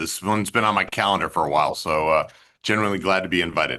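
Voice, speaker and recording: An American-accented man's fairly low-pitched voice, bright and sharp in tone, with ordinary pitch variation and a quiet background. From upstate New York. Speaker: investment banker. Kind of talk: panel discussion. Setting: video call.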